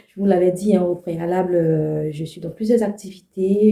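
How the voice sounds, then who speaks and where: Her pitch is medium and her intonation fairly even as this woman speaks at a fairly slow pace. The tone is dark and mellow, and somewhat breathy. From Ivory Coast, Abidjan (Abobo). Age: 30s. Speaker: vlogger. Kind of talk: personal vlog monologue. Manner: casual, hesitant with many fillers.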